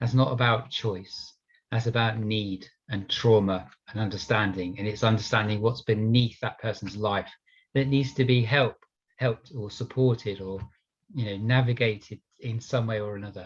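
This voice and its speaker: A man speaks at a moderate pace in a medium pitch, his voice somewhat breathy with a passionate tone and fairly even intonation. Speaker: police officer. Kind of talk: panel discussion.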